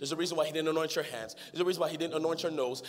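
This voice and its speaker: A man with an animated tone over noticeable background noise. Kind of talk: sermon. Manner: animated, call-and-response preaching, pushing the crowd to shout back; rising, emphatic and repetitive, with laughter.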